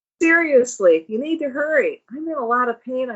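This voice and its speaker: A woman puts on a character voice, pitched high and sounding strained. She keeps a moderate pace. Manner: strained, through gritted teeth.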